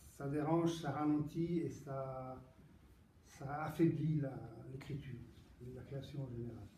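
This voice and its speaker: A man with an Italian accent speaks at a very slow pace and a fairly high pitch. Long, frequent pauses break his speech, and the room echo is audible. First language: Italian (speaking French). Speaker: poet. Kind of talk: book presentation Q&A. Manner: halting, many repetitions and hesitations.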